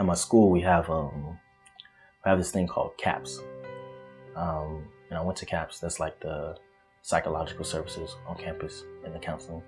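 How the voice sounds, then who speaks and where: Over music in the background, a man with a very deep, low pitch speaks at a moderate pace with ordinary pitch variation and long, frequent pauses. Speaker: college student. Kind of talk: interview answer. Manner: casual.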